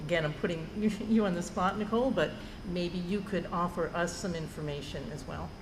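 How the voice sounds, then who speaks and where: Amid noticeable background noise and audible room echo, a woman with a New Jersey accent talks at a fairly quick pace in a fairly low pitch. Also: ordinary pitch variation. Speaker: school board member. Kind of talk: board meeting discussion.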